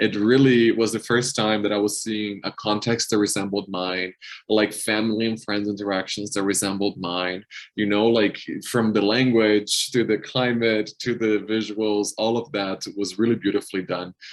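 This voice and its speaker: With a Portuguese accent, the voice moves at a moderate pace with monotone, flat intonation in a very clean recording with a silent background. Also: man, fairly low pitch for a man. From Brazil, São Paulo. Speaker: health community manager. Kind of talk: casual interview conversation.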